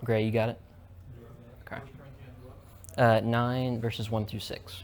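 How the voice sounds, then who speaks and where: Amid audible room echo, a man at medium pitch speaks in a monotone, flat intonation with big swings in loudness. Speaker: student presenter. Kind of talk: lecture. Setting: presentation to a live audience. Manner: fast; casual.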